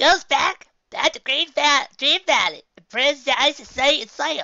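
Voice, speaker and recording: A man puts on a character voice with an extremely high pitch, speaking at a fairly slow pace. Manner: rambling, grumbling.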